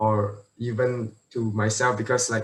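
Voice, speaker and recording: Here a man speaks with monotone, flat intonation. His voice is somewhat breathy. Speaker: university student, school alumnus. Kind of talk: online panel Q&A.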